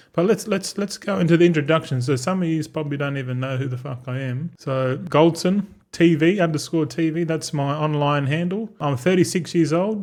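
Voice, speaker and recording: Speaking in an Australian accent at a fairly quick pace, a man with a fairly high pitch and ordinary pitch variation barely pauses. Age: 30s. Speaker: gaming content creator. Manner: casual, rambling.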